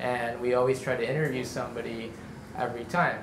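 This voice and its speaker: A man talks at a fairly quick pace with ordinary pitch variation. There is noticeable background noise. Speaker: event host. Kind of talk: event introduction to audience. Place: cafe. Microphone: handheld.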